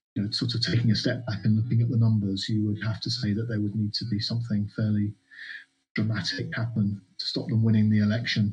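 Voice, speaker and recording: Against music in the background, a man with a fairly low voice rushes along at a very fast pace in a monotone, flat delivery. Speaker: political commentator guest. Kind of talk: analytical political discussion.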